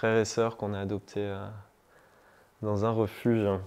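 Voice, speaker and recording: This man speaks at a fairly slow pace in a monotone, flat intonation. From southern France, La Ciotat (Provence). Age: 30s. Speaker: climate activist. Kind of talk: interview testimony. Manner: casual, hesitant with many fillers.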